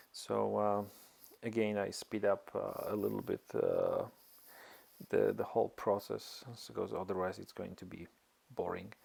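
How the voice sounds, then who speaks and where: Long, frequent pauses break up a man's fairly slow speech, which has a non-native accent and big swings in loudness. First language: not English. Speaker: amateur motorcycle mechanic, tutorial maker. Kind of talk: tutorial. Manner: halting, many fillers.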